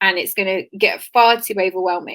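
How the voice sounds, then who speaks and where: A woman with a plain, everyday voice, medium pitch and a moderate pace. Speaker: PR expert and business founder. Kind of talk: webinar talk.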